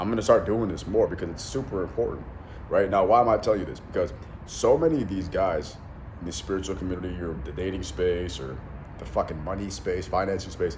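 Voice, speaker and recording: A man with a very deep, low pitch speaks very fast with lively intonation and big swings in loudness, with audible room echo. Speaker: self-help influencer and mentor. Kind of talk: motivational monologue. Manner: animated; many fillers and restarts.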